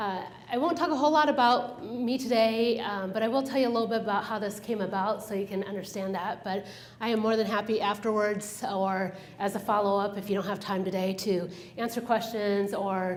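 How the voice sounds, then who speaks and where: Against noticeable background noise and audible room echo, a woman with a medium pitch speaks at a fairly quick pace. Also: ordinary pitch variation. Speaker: business consultant giving a talk. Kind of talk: presentation to a professional group. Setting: room with live audience, using a microphone. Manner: fast when excited; animated.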